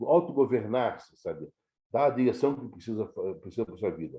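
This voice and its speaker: A man's dark, mellow tone with vocal fry, at a moderate pace. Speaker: scouting educator, retired national office staff. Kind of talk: lecture. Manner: halting, many fillers and repetitions.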